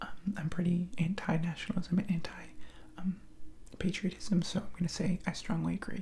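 A man speaks in a high-pitched voice. There is light background noise. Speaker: video creator taking a political quiz. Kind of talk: casual vlog chat. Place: home room. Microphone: headset.

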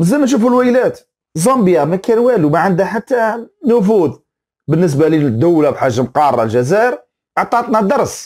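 Very wide pitch swings and an animated tone at a moderate pace, with very even loudness over a quiet background. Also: man, high pitch for a man. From Algeria. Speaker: football commentator YouTuber; sports commentator. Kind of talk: opinion rant video. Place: home room. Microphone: lapel.

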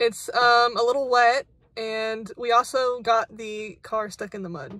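A woman speaks at a high pitch in a dry sound with no echo. Faint music plays behind her. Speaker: vlogger. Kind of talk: casual vlog chat. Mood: amused, a bit flustered. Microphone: phone near.

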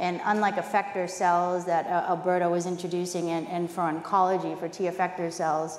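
A woman speaks at a moderate pace with audible room echo. Light background noise sits behind her. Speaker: biotech chief scientific officer. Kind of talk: conference panel discussion. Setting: stage with audience.

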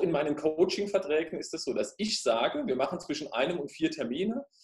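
A man is speaking against a quiet background. The room echo is audible. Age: 30s. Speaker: fitness studio owner and life coach; life coach. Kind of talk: interview. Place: home room. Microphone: webcam.

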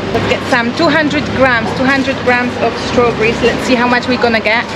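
A woman speaks against loud background noise. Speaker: travel vlogger. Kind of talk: casual vlog chat. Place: market. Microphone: phone near.

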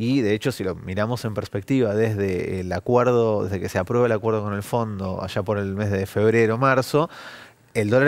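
Intonation remains fairly even. The speaking rate is fairly quick. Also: man. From Argentina. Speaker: economist; guest. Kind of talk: news interview. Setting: TV studio. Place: studio. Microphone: headset.

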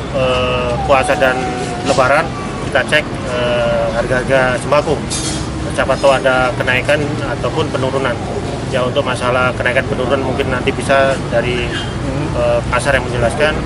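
A man speaks at a moderate pace while loud background noise carries on. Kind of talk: interview answer. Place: market.

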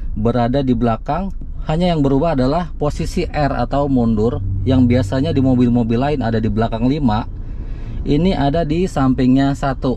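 Fairly quick speech in a dry sound with no echo over light background noise. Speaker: car channel host. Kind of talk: tutorial. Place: car.

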